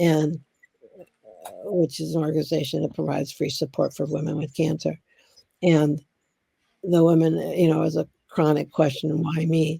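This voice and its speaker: A woman's very deep, low voice, dark and mellow, with vocal fry, flat monotone intonation, a moderate pace and long, frequent pauses. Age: 70s. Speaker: interviewee recalling the AIDS crisis. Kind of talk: documentary interview. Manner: emotional, heartfelt.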